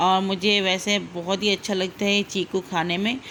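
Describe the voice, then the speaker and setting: Her voice sits at a medium pitch, and this woman speaks in a flat monotone. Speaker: cooking channel host. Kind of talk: cooking tutorial.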